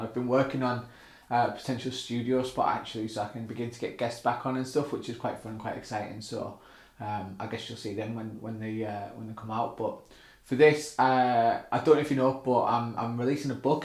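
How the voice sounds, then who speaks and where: A man with a northern English accent speaks at a very fast pace in a somewhat breathy, medium-pitched voice with monotone, flat intonation. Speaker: author and former band drummer. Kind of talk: casual talk to camera.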